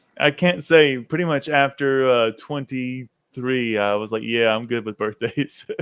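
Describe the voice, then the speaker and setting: Speaking at a fairly slow pace with hardly any pauses, a man keeps a medium pitch and ordinary pitch variation. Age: 40s. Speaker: podcast host. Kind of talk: podcast interview. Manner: upbeat, enthusiastic.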